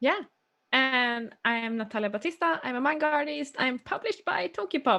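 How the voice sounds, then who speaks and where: In a Swedish accent, a woman projects a raised, high-pitched voice with a bright, sharp tone, lively intonation and a moderate pace. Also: quiet background. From Sweden. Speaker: manga artist. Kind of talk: tutorial. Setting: live stream. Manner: halting.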